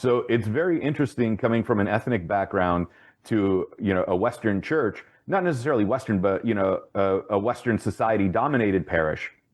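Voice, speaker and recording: A normal speaking voice, this man's fairly low pitch comes with an American accent, lively intonation, very even loudness, and a fairly quick pace. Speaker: podcast host. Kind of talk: interview.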